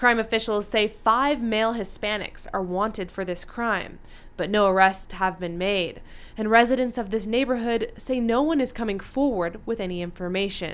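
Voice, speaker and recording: Here is a woman with an ordinary speaking voice and a fairly high pitch. She talks at a moderate pace with ordinary pitch variation. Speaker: TV news reporter. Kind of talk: TV news reporter stand-up and voiceover.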